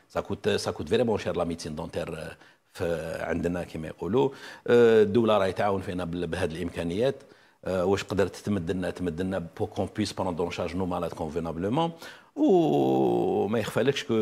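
Very deep and low, a man's voice has a dark, mellow tone. He moves at a moderate pace with ordinary pitch variation. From Algeria. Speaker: dental surgery professor; guest. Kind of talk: TV interview. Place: studio.

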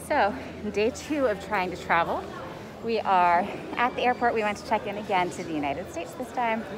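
Music plays in the background as a woman talks at a very fast pace with ordinary pitch variation. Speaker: travel vlogger. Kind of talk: casual vlog chat. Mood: stressed but hopeful. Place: station. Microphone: phone near.

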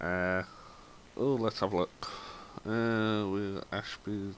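A man talks at a very slow pace. His pitch is fairly low and his intonation fairly even. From southern England. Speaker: gaming YouTuber, former bus driver. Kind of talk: gameplay commentary. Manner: casual, rambling with fillers.

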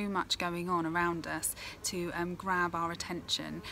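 A woman speaks in a fairly low voice. Light background noise is present. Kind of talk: tutorial. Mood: calm, gentle. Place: garden. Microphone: phone near.

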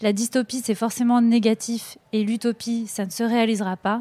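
A woman's fairly high voice, monotone and flat, with a dry, close sound and no echo. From northern France. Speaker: documentary filmmaker. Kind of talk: interview. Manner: hesitant, many fillers.

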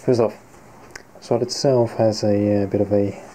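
A man's dark, mellow tone with ordinary pitch variation and light background noise. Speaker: costume maker. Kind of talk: casual talk to camera. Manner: hesitant, relaxed. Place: home room. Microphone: phone near.

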